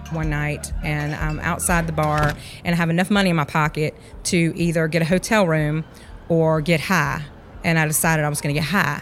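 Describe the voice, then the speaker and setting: Speaking fairly quickly in a Georgia accent, a woman uses a very deep, low pitch and a monotone, flat intonation. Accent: US Southern (Georgia). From rural Georgia (Sandersville). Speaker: former alcoholic, ministry co-leader. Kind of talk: testimony.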